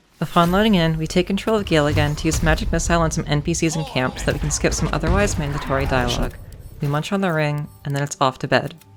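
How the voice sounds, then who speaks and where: A woman's very deep, low voice at a very fast pace, with ordinary pitch variation and music in the background. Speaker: speedrunner. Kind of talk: video game commentary narration.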